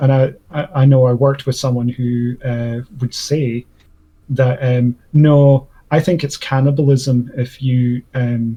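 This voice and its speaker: A man's medium-pitched voice in a Scottish accent, somewhat breathy with a dark, mellow tone, at a very slow pace in a monotone, flat intonation. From Scotland. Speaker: debate channel host. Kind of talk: casual debate discussion. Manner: halting, many fillers.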